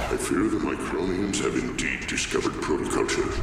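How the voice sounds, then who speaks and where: Amid loud background noise and clear echo, a man does a cartoonish character voice at a fairly quick pace. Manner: imperious, commanding.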